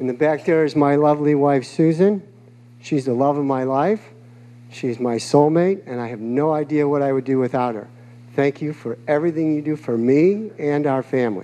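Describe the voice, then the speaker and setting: A dark, mellow voice with an American accent, moderate pace and ordinary pitch variation. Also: man, fairly high pitch for a man. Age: 60s. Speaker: mayoral candidate. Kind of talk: campaign speech. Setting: public forum with live audience.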